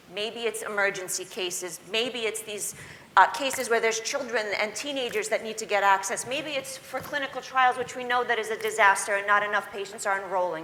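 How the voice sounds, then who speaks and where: Noticeable background noise sits behind a woman with a fairly high pitch. She talks at a fairly quick pace with hardly any pauses. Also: ordinary pitch variation. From immigrant, grew up in the US. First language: not English. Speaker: patient advocate. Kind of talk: panel discussion. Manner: animated.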